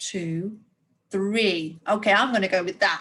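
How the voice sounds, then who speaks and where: This woman speaks at a medium pitch. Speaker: primary school teacher. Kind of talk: recorded lesson for young pupils. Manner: animated.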